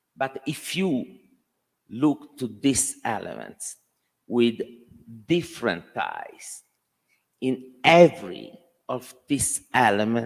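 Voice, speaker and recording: With an Italian accent, a man speaks at a very slow pace. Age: 60s. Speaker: architect. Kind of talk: Q&A at a talk. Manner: halting.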